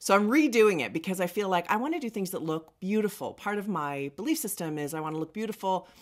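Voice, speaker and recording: Very fast, animated speech from a woman, with hardly any pauses, very wide pitch swings and a quiet background. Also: medium pitch for a woman. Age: 50s. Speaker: makeup artist and beauty vlogger; beauty vlogger. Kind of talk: makeup tutorial. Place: studio.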